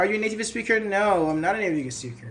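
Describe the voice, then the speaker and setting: Speaking at a very fast pace, a man with a Persian accent uses lively intonation. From Iran. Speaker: English teacher. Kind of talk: online class.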